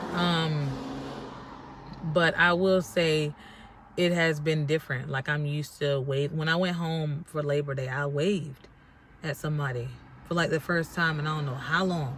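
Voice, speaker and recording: A woman talks at a moderate pace with a very deep, low pitch. Her pauses are long and frequent. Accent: American. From North Carolina. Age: 30s. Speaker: vlogger. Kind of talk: casual vlog talk. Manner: casual, chatty.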